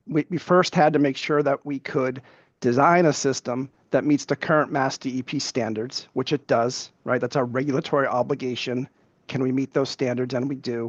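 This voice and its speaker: The recording is dry and close with no echo and a quiet background, as a man speaks at medium pitch with fairly even intonation. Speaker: utility company witness. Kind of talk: evidentiary hearing testimony. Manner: fast.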